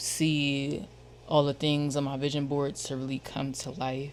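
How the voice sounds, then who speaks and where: Speaking with an American accent, a woman uses a very deep, low pitch. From Philadelphia. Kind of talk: casual slang. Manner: casual, profane, repetitive.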